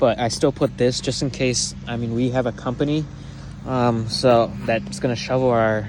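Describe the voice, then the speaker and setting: A man talks at a moderate pace in a medium pitch. His intonation is monotone and flat, with noticeable background noise behind him. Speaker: YouTuber showing home Christmas light display. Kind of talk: casual walkthrough tour.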